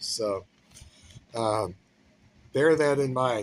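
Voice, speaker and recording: A somewhat breathy man's voice with an American accent. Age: 60s. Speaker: chef giving career advice. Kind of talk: casual talk to camera. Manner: conversational with fillers and hesitations.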